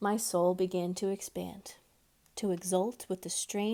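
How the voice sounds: With fairly even intonation, the speaker reads in a natural voice.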